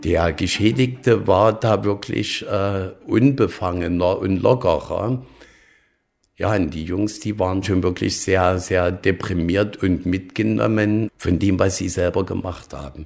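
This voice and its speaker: A man's very deep, low voice at a very slow pace, with ordinary pitch variation, in a very clean recording with a silent background. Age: 60s. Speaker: lawyer. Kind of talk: interview. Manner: halting, many fillers.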